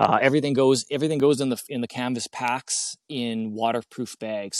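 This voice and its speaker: On a very clean recording with a silent background and a dry, close sound with no echo, a man with a Canadian accent speaks at a fairly quick pace at a medium pitch with fairly even intonation. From Canada. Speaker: log cabin builder and video creator. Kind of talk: casual interview chat. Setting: outdoors at a cabin build site.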